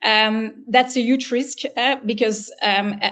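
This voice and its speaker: The speaker is a woman. Her pitch is fairly high. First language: not English. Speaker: business consultant. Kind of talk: webinar Q&A answer. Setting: online webinar. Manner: halting, many fillers.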